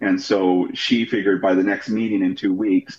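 A man with a fairly low voice speaks in an American accent, an unremarkable speaking voice. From Idaho, Pocatello area. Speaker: pastor. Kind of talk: interview.

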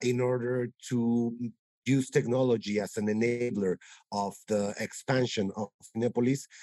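The man's voice has a dark, mellow tone at a medium pitch and a moderate pace. The sound is dry and close with no echo. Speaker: cinema company executive. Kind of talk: interview.

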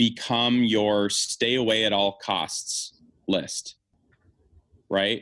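A man of medium pitch with an American accent at a very slow pace. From small rural US township. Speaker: entrepreneur. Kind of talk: interview.

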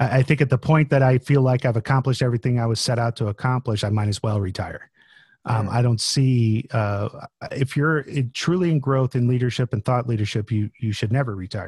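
A man with an American accent, somewhat breathy, at a fairly quick pace with ordinary pitch movement, in a dry, close sound with no echo. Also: medium pitch for a man. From Florida. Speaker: project manager and author. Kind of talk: casual interview. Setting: video call.

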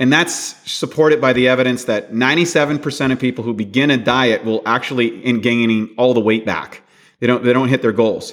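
A man's plain, everyday voice, medium in pitch, at a fairly quick pace with fairly even intonation. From Canada. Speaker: bodybuilding champion and nutrition author. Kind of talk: interview.

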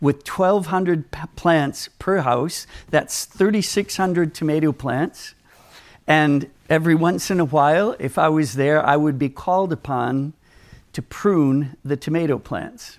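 Speaking fairly slowly in a plain, everyday voice, a man with an American accent has a fairly high pitch and ordinary pitch variation. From Minnesota, US. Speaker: Bible teacher. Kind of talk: sermon. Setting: conference with audience.

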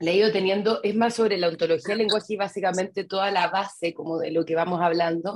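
A woman talks at a very fast pace, with hardly any pauses. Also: medium pitch for a woman. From Chile. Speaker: webinar participant, coaching student. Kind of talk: question-and-answer in an online class. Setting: video call. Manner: halting, many fillers.

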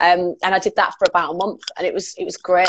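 Speaking at a fairly quick pace, a woman talks in a Cumbrian accent. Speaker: radio presenter and DJ. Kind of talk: casual chat. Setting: video call.

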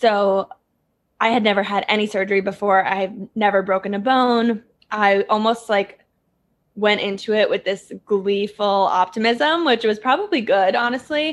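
Speaking at a moderate pace in an American accent, a woman with an unremarkable speaking voice keeps a fairly high pitch, ordinary pitch variation and very even loudness. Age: 20s. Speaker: lifestyle YouTuber. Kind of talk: casual chat.

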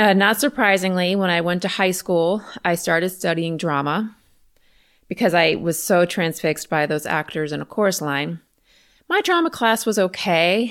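With an American accent and a plain, everyday voice, a woman speaks at a moderate pace and medium pitch with ordinary pitch variation on a very clean recording with a silent background. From US South, Richmond, Virginia. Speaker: podcast host, creativity coach and teacher. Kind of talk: casual personal storytelling monologue.

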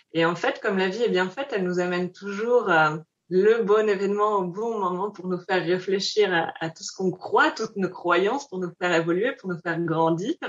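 At a moderate pace and with hardly any pauses, a woman with a normal speaking voice talks at medium pitch with ordinary pitch variation. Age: 20s. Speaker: founder of a human-animal connection project. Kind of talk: interview conversation.

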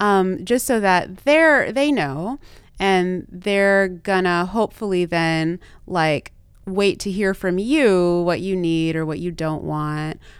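A woman's medium-pitched voice in an American accent, very slow with lively intonation, on a very clean recording with a silent background. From US South (Texas and Louisiana). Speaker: sex and relationship therapist. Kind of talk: interview conversation.

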